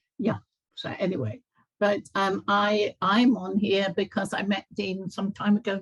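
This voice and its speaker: A somewhat breathy voice with fairly even intonation, dry and close with no echo. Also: woman. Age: 70s. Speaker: community gathering participant, holistic life coach. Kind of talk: casual chat.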